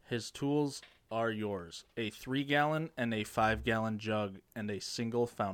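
A man with an unremarkable speaking voice talks at a medium pitch. His pace is fairly slow, and his pitch variation is ordinary. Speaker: riddle teller, friend of hosts. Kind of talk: casual banter.

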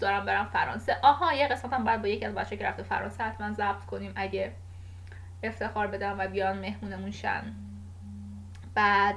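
Room echo around a woman speaking at a fairly quick pace. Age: 20s. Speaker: podcast host. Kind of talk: casual monologue. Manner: halting.

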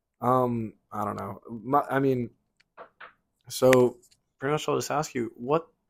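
Long, frequent pauses break up this fairly slow speech, which holds a fairly even intonation. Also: man, medium pitch for a man. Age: 20s. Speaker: podcast host. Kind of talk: casual chat.

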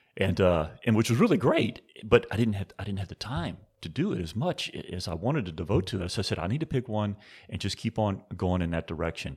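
A man's fairly low, somewhat breathy voice, very fast and lively in intonation, on a very clean recording with a silent background. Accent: American. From US South, New Orleans. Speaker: wine industry executive. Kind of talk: interview.

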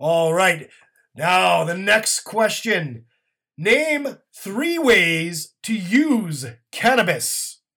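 A man's raised, projected voice, high in pitch and bright, sharp in tone, with very wide pitch swings at a very slow pace, in a very clean recording with a silent background. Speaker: game show host. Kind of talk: mock game show hosting, comedic scripted banter. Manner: brisk, hammy announcer patter with tongue-in-cheek asides.

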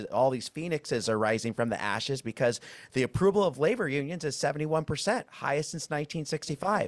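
This man speaks at a very fast pace. The sound is dry and close, with no echo. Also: fairly high pitch for a man, lively intonation, very clean recording, silent background. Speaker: labor podcast host. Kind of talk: interview.

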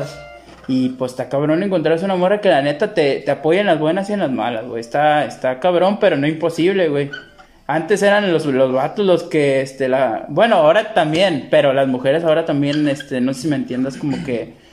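A man talks at a fairly quick pace with fairly high pitch and ordinary pitch variation over noticeable background noise. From Mexico, Tepic. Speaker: podcast host. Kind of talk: casual chat.

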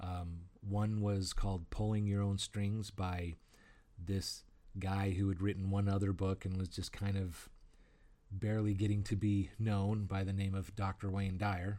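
The recording is very clean, with a silent background. A man talks at a fairly slow pace and fairly low pitch, his dark, mellow tone set in a monotone, flat intonation. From northern Arizona. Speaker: author. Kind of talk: solo talk. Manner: halting.

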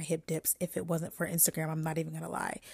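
Heard in a very clean recording with a silent background and a dry, close sound with no echo, a woman with an American accent talks in an animated tone. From New York and the DMV (Washington DC area). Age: 20s. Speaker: podcast host and lifestyle influencer. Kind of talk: casual solo chat. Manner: animated, chatty.

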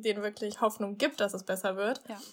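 The recording is very clean, with a silent background. A woman speaks in a fairly high voice with monotone, flat intonation. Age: 20s. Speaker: student advisor. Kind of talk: casual chat.

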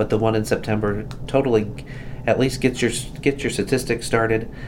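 Amid noticeable background noise and audible room echo, a man speaks at a moderate pace in a monotone, flat intonation. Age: 40s. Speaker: hospital volunteer coordinator. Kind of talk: casual health chat.

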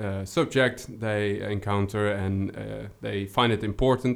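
A man with a Dutch accent speaks at a fairly slow pace with a fairly low pitch and fairly even intonation. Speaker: account executive, former game designer. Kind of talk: casual interview chat. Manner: halting, hesitant.

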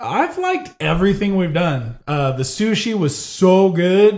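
A somewhat breathy male voice. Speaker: podcast host. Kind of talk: casual chat. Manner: joking, profane.

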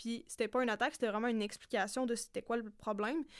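Very fast, a woman speaks in a fairly high pitch. Her intonation stays fairly even. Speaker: podcast co-host. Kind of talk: casual chat. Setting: studio.

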